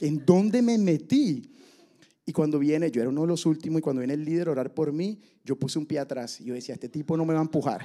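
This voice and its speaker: Speaking very fast in a Caribbean Colombian accent, a man with a dark, mellow tone holds a fairly high pitch and ordinary pitch variation. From Barranquilla, Colombia. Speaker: churchgoer sharing testimony. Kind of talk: testimony.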